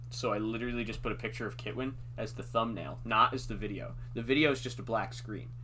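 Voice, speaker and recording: Over audible room echo, a speaker with an American accent races at a very fast pace, swinging widely in pitch with a bright, sharp tone and vocal fry. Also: man. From US Midwest. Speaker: podcast host. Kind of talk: casual chat.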